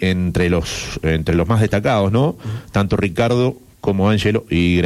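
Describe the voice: The pitch moves in a usual way as the text is read out plainly.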